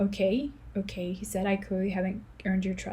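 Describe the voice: The clip features plain reading aloud.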